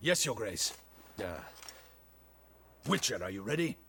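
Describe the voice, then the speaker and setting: Putting on a raspy character voice, a man at medium pitch speaks at a moderate pace with very wide pitch swings. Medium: video game. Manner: formal, disdainful.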